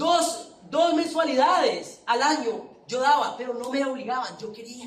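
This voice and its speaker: With a Colombian accent, a man speaks at an extremely high pitch and a fairly slow pace. His intonation is fairly even, and audible room echo can be heard. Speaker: preacher. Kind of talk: sermon. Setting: church with congregation.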